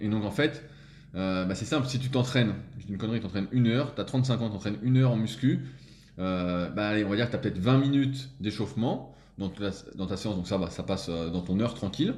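A man's fairly low voice at a very fast pace, with ordinary pitch variation and audible room echo. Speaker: strength training coach. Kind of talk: casual interview.

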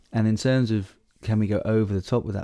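A man with a southern English accent speaks in a dark, mellow tone with ordinary pitch variation against a quiet background. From southern England. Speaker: wildlife conservation charity CEO. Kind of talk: casual chat. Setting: at home by a fire.

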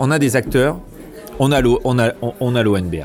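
Noticeable background noise sits behind this man's speech. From Bordeaux, France. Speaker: mayoral candidate, politician. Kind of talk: casual interview over drinks. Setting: bar with small group. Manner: hesitant, many fillers.

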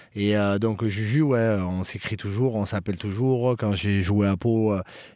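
Here a man speaks at a very slow pace. His tone is dark and mellow, with fairly even intonation. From French Basque Country (Bayonne). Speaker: professional rugby player. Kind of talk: interview. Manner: hesitant, many fillers.

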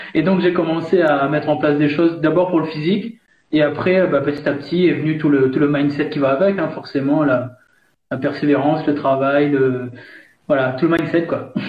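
A man talks at a moderate pace with a fairly high pitch and a somewhat breathy quality. His intonation is fairly even, his loudness very even, and the room echo is audible. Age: 30s. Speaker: coach and author. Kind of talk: interview.

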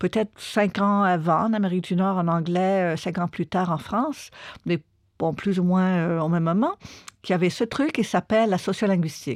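A woman at medium pitch, moderate pace and ordinary pitch variation, with very even loudness, a dry, close sound with no echo, and a very clean recording over a silent background. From Quebec, Montreal. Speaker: linguist and anthropologist. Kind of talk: interview about her book. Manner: hesitant with fillers.

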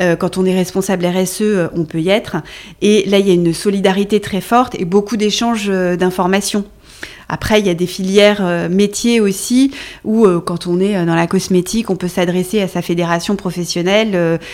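Fairly even intonation and a moderate pace from a woman with a medium-pitched voice. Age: 40s. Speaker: recruitment firm founder and CEO. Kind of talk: interview conversation. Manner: hesitant, many fillers.

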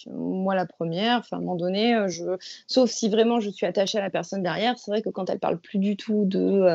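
A woman at a medium pitch, talking at a moderate pace. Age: 30s. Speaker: laboratory technician and new mother. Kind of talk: casual chat. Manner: halting.

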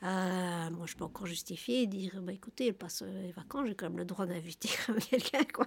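A woman's medium-pitched voice carries ordinary pitch variation as she talks at a fairly quick pace. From Belgium. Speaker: interviewee on social welfare. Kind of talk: testimony. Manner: halting.

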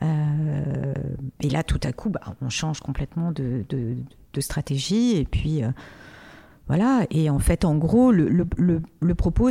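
Speaking at a very slow pace, a woman with a fairly low pitch, a somewhat breathy, dark and mellow tone, and lively intonation is heard on a very clean recording with a silent background. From Morocco, Casablanca. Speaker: music artist manager. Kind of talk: interview. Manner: hesitant, many fillers.

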